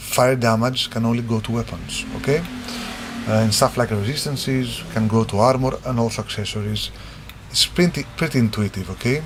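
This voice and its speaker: A man with a non-native accent amid noticeable background noise. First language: not English. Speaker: game designer. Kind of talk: tutorial. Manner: halting; casual.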